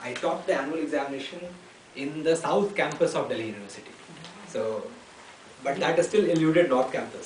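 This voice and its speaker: A man with an Indian accent speaks at a fairly quick pace in a fairly high voice with lively intonation, leaving long, frequent pauses. Background noise is noticeable, and the room echo is audible. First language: Hindi. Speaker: civil servant. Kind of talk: Q&A with schoolchildren. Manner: halting, many fillers.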